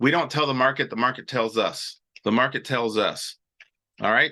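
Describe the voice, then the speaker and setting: A man speaks in a bright, sharp tone with ordinary pitch variation against a quiet background. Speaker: trading educator hosting live show. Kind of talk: live stream teaching with chat questions. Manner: fast; casual, filler-heavy.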